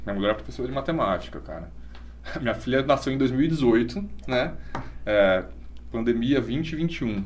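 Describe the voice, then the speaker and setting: A man at a moderate pace with long, frequent pauses, in audible room echo. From Brazil, Bariri (São Paulo state). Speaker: schoolteacher. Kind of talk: casual chat. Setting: live-streamed podcast.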